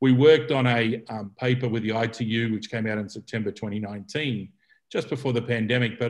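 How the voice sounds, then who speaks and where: A man in an Australian accent at a fairly quick pace. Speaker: telecommunication policy expert. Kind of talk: keynote presentation. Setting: video call. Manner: hesitant, with fillers and repetitions.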